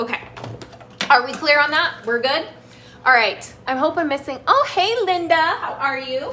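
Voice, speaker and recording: Over noticeable background noise, a raised, projected voice with an animated tone moves at a moderate pace, showing ordinary pitch variation and long, frequent pauses. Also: woman, high pitch for a woman. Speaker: health coach and cooking show host. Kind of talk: live cooking demonstration.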